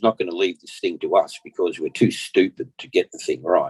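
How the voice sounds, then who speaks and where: Man with an Australian accent at a moderate pace, dry and close with no echo. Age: 60s. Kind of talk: podcast interview, personal testimony. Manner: halting, repeats words.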